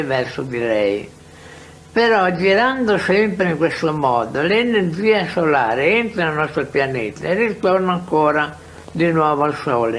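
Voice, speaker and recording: A high-pitched man's very slow speech, with audible room echo and noticeable background noise. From Italy. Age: 80s+. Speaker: researcher. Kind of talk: interview. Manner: halting.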